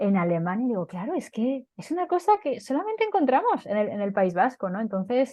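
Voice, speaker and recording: Barely pausing, a woman talks at a fairly quick pace in a high voice with very wide pitch swings. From Basque Country, Spain. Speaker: interviewee, Basque speaker. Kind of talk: interview. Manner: hesitant, many fillers and repetitions.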